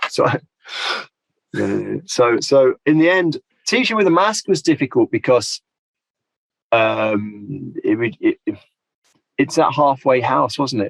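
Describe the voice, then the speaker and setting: In a dry, close recording with no echo, a man speaks at a fairly slow pace with lively intonation. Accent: British. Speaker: applied linguistics lecturer. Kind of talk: podcast interview.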